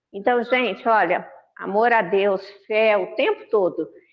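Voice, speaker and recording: A woman speaks at a fairly high pitch. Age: 60s. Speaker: spiritist lecturer. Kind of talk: religious talk. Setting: online video meeting. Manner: conversational.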